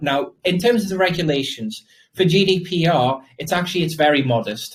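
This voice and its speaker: A man speaks with a British accent and ordinary pitch variation. His voice is somewhat breathy. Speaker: crypto project founder. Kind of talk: interview Q&A. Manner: fast.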